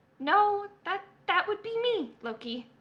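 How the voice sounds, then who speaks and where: A woman puts on a squeaky character voice at an extremely high pitch. She talks at a fairly slow pace with very wide pitch swings. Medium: game stream. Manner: nervous, halting.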